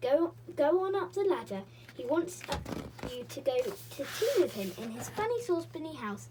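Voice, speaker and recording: Putting on a character voice, a woman speaks at a moderate pace. Clear background noise sits behind her. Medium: read story.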